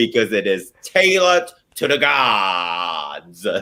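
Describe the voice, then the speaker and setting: Very slowly, a man speaks at a medium pitch with very wide pitch swings. His tone is bright and sharp, with vocal fry. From Germany. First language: German. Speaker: drag queen. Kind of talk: casual chat.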